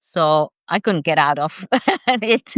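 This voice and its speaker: Against a quiet background, a woman with a non-native accent speaks at a fairly slow pace, the sound dry and close with no echo. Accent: non-native, audible. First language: not English. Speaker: nonfiction and fiction author, chat host. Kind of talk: casual live chat interview. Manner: halting, many fillers.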